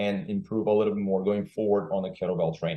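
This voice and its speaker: A man speaks with a non-native accent. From Brazil. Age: 40s. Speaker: kettlebell trainer. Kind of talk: podcast interview. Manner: halting.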